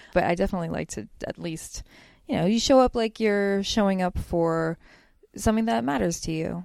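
Medium in pitch, this woman has an ordinary speaking voice with an American accent and lively intonation. The recording is very clean, with a silent background. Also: fairly quick pace. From Pennsylvania, US (Bethlehem). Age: 30s. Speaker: cartoonist. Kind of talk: casual interview.

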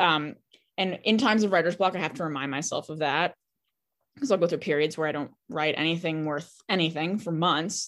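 A woman's plain, everyday voice, fairly low in pitch with ordinary pitch variation, at a fairly quick pace in a very clean recording with a silent background. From Boston. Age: 20s. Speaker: poet. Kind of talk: interview.

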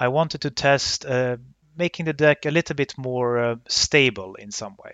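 A man with a Swedish accent at a moderate pace, fairly high in pitch with ordinary pitch variation and big swings in loudness. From northern Sweden, Luleå. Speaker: card game competitor. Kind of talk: podcast interview. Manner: hesitant with many fillers.

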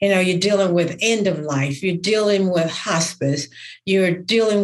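This woman has an unremarkable speaking voice. She holds a medium pitch and shows ordinary pitch variation. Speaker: podcast host. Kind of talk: podcast interview.

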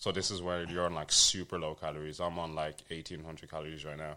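On a very clean recording with a silent background, a man speaks with a London accent at a fairly quick pace. His voice is very deep and low, with a bright, sharp tone. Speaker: fitness coach. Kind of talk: casual chat.

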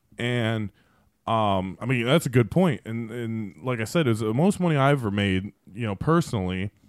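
Here a man talks at a moderate pace with medium pitch and lively intonation. He has an unremarkable speaking voice. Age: 30s. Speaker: podcast co-host. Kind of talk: casual chat.

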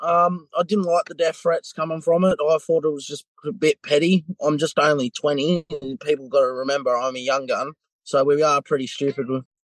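Heard in a dry, close sound with no echo, a man speaks with a strong Australian accent and ordinary pitch variation. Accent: broad Australian. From New South Wales, Australia. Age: 20s. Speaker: interviewee in a crime story. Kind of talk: casual interview.

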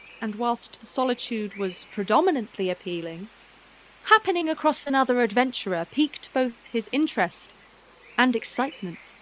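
Noticeable background noise sits behind a woman speaking at a high pitch and moderate pace with lively intonation. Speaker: narrator. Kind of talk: dramatic fantasy narration, storybook style. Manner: measured, vivid, storytelling cadence.

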